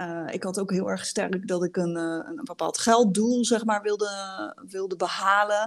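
A woman talks in an ordinary speaking voice at a medium pitch with ordinary pitch variation. Her pace is fairly slow, with hardly any pauses. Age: 30s. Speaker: leadership coach. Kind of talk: casual chat.

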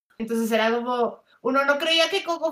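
Lively intonation in a woman's voice pitched fairly high. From Colombia. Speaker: exchange student. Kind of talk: casual chat.

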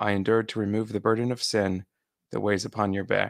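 A man with an unremarkable speaking voice and a fairly low pitch speaks at a moderate pace in a very clean recording with a silent background and a dry, close sound without echo. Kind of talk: dramatic reading aloud of a homily, with prayer.

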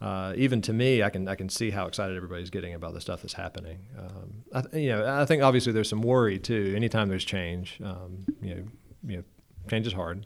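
A man with an American accent and fairly low pitch talks at a very fast pace in a very clean recording with a silent background. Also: ordinary pitch variation. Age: 30s. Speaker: city government official. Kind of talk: interview. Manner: hesitant, many fillers.

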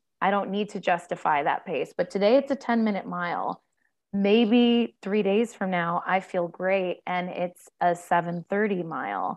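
A woman's normal speaking voice at medium pitch, with an American accent, ordinary pitch variation and a fairly slow pace. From Ohio, US Midwest. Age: 30s. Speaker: ultramarathoner and arts administrator. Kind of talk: podcast interview.

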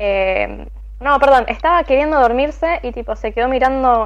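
A woman speaks with a Rioplatense accent. Her pitch is fairly high. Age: 20s. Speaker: podcast co-host. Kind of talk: casual chat.

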